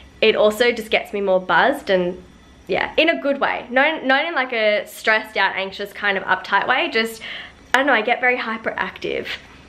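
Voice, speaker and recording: Noticeable background noise runs behind a woman's voice. She speaks with a fairly high pitch and lively intonation. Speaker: lifestyle vlogger. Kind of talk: casual vlog chat. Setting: at home. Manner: fast; animated.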